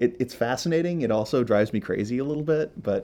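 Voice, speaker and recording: This man talks with an American accent at a fairly quick pace. His tone is dark and mellow, his intonation lively. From US Midwest (Iowa and Minnesota). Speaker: sculptor and artist. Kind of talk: interview.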